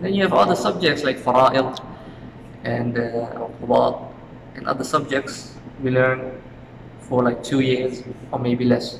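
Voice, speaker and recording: The speaker goes at a moderate pace with ordinary pitch variation and long, frequent pauses, over noticeable background noise and audible room echo. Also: man, medium pitch for a man. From Suriname. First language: Dutch. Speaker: university student. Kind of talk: interview. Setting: outdoors in front of university faculty.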